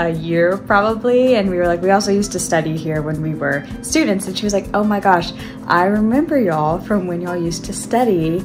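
A woman talks at a fairly quick pace with ordinary pitch variation. Clear music can be heard behind her. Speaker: vlogger. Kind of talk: casual vlog chat. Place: home room. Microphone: phone near.

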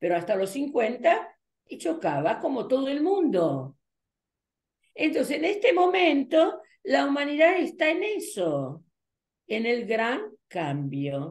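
Against a quiet background, a woman with a high pitch speaks very slowly, her pitch swinging very widely. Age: 80s+. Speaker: numerologist and teacher; teacher. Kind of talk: interview. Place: home room. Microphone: webcam.

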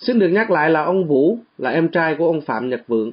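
This man has a normal speaking voice. He talks at a fairly quick pace with lively intonation. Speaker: radio reporter. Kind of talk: news discussion. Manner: formal.

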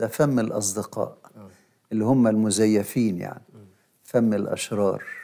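A man with an Egyptian accent, fairly low pitch and a dark, mellow tone, at a moderate pace with fairly even intonation, big swings in loudness and a quiet background. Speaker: bishop and liturgy professor; bishop, liturgy professor. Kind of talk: religious teaching talk show. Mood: calm, explanatory. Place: studio.

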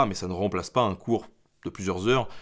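With ordinary pitch variation, a man speaks at a fairly quick speed. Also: quiet background. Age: 20s. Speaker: history YouTuber. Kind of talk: casual Q&A monologue. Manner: halting, many filler hesitations. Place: home room.

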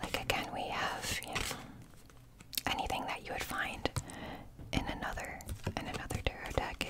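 A soft-spoken woman talks at a moderate pace over loud background noise. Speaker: tarot content creator. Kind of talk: casual vlog chat. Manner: soft, hushed ASMR talking. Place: home room. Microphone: phone near.

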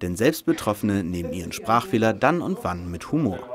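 A man's fairly low voice with very wide pitch swings, at a moderate pace. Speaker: news report narrator. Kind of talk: news report voice-over.

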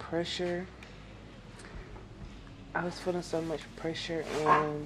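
Noticeable background noise under a monotone, flat intonation. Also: woman. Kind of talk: casual vlog chat. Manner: slow, drowsy, worn-out post-labor voice. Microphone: phone near.

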